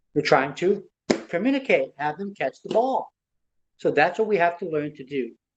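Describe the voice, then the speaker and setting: With lively intonation, a man speaks with a non-native accent. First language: not English. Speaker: motivational speaker. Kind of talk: motivational talk. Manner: animated.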